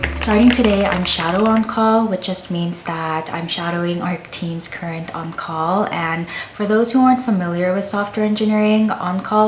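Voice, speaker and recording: Noticeable background noise and audible room echo fill this recording. The woman talking keeps a moderate pace. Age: 20s. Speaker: software engineer vlogger. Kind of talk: casual vlog narration.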